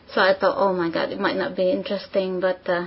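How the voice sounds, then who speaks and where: A woman of medium pitch amid noticeable background noise. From Philippines. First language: not English (English is third language). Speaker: exam candidate. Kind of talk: speaking exam interview. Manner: hesitant with fillers.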